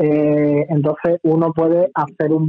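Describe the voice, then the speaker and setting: This man's fairly high voice stays monotone, with flat intonation throughout. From Bilbao, Basque Country, Spain. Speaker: lawyer. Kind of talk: radio interview. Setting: phone call.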